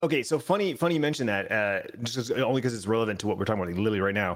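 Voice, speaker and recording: With an ordinary speaking voice and lively intonation, a man talks on a very clean recording with a silent background. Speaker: podcast co-host. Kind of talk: casual chat. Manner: casual, rambling.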